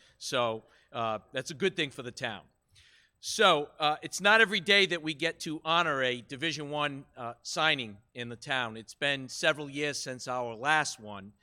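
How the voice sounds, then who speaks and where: A man's fairly high voice has a bright, sharp tone and lively intonation, with big swings in loudness. He keeps a moderate pace on a very clean recording with a silent background. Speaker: high school golf coach. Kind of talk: public speech at meeting. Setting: school committee meeting. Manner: animated.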